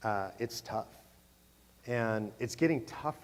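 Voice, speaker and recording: Spoken with a West Coast US accent at a fairly slow pace, the voice has ordinary pitch variation. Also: man. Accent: General American, West Coast. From California. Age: 60s. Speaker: advocacy group president. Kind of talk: Q&A at a conference. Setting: stage with audience.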